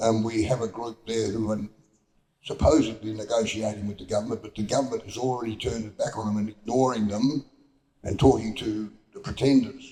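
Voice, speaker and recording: A man at a medium pitch talks at a fairly quick pace in a dark, mellow, somewhat breathy tone, with fairly even intonation and big swings in loudness. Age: 80s+. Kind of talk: panel discussion. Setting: town hall forum with audience.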